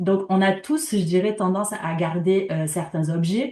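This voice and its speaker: A woman's somewhat breathy, dark and mellow voice at medium pitch and a fairly slow pace. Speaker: community organization project worker. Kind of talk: conference talk.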